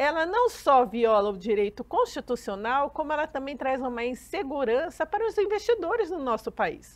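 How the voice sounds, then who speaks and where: A woman speaks in a high voice with very wide pitch swings. Her pace is moderate, with hardly any pauses. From Brazil, São Paulo city. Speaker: labor lawyer. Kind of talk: TV interview. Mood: earnest, critical of legal ruling. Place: studio.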